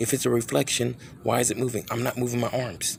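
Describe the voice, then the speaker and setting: Vocal fry runs through a man's medium-pitched voice. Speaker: video blogger filming night sky. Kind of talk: casual handheld video narration. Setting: outdoors at night in driveway. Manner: halting, self-interrupting; whispering.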